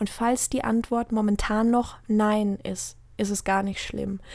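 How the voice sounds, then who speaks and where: The recording is very clean, with a silent background. A woman speaks at a very slow pace with a fairly high pitch. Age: 20s. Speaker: weight-loss motivational podcaster. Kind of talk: personal monologue.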